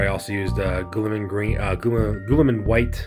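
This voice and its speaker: Over music in the background, a man talks fairly quickly in an enthusiastic tone, his pitch fairly low and his intonation lively. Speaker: miniature wargaming hobbyist. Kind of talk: hobby tutorial talk. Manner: casual, enthusiastic.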